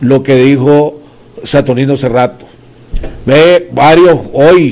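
Against noticeable background noise, a man in a Nicaraguan accent speaks at a fairly high pitch with ordinary pitch variation. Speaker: political commentator and show host. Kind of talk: political interview show.

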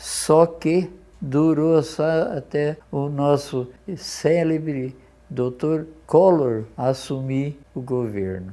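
A man talks at a very slow pace in a fairly high pitch. His tone is dark and mellow, with ordinary pitch variation. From interior of São Paulo state, Brazil (Garça); born in Poland. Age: 80s+. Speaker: retired businessman, law graduate at 90. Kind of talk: interview.

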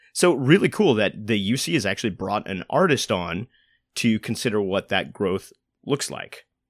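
An ordinary speaking voice at a moderate pace with lively intonation, recorded dry and close with no echo, in a very clean recording with a silent background. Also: man, fairly low pitch for a man. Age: 20s. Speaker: arts podcast host and actor. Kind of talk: casual chat. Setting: studio.

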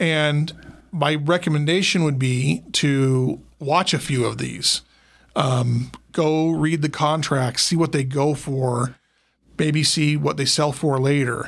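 On a very clean recording with a silent background, a man with an American accent speaks at a very slow pace. His pitch is fairly high, his intonation fairly even, and his loudness very even. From Utah (Logan). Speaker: probate attorney. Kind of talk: casual interview.

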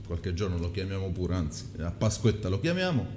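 Over noticeable background noise, a man talks fairly quickly in a fairly low voice. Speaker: live-stream co-host. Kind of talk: casual live chat on food.

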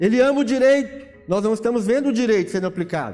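With a Brazilian accent, a man speaks at a fairly quick pace in an extremely high pitch with ordinary pitch variation. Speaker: pastor. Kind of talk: sermon, preaching to a congregation. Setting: church. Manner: emphatic, rhetorical, rising and fervent; conversational, explaining with questions and repetition.

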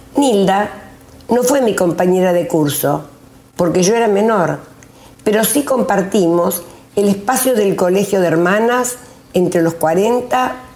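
Audible room echo surrounds a woman with a medium-pitched voice. She speaks very slowly, with lively intonation. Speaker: retired teacher, local storyteller. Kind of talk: reading aloud. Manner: formal.

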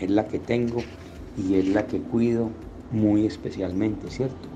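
This man has a plain, everyday voice with fairly low pitch. He keeps a moderate pace and fairly even intonation. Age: 60s. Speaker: businessman sharing life story. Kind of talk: testimony.

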